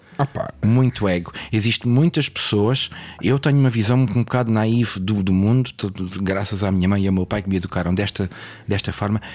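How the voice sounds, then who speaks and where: Using an unremarkable speaking voice, a man speaks with a fairly low pitch, ordinary pitch variation and a moderate pace. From Portugal, Lisbon. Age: 40s. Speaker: DJ and record label owner. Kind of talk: casual interview.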